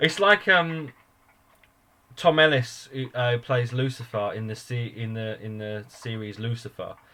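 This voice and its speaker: A man with a medium pitch has a bright, sharp tone. His pitch varies in an ordinary way while his loudness swings widely. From England. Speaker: podcast host. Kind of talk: casual chat.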